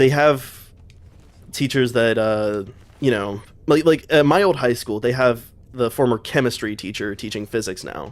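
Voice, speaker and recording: A man speaks at a medium pitch with an American accent and ordinary pitch variation. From US South (city). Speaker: streamer. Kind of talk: casual chat. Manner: rambling, filler-heavy.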